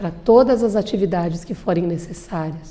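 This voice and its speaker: Lively intonation at a moderate pace. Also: woman. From Bento Gonçalves, Rio Grande do Sul, Brazil. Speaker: lawyer and public speaker. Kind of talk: interview.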